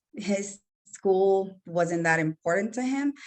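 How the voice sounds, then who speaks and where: The voice belongs to a woman. She talks with a Spanish accent. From El Salvador. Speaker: entrepreneur. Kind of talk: casual chat.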